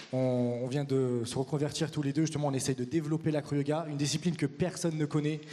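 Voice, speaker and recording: A man talks at a very fast pace with hardly any pauses, fairly high in pitch and monotone, flat in intonation. Noticeable background noise runs underneath. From France. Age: 30s. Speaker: acro-yoga teacher and performer. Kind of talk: conference talk.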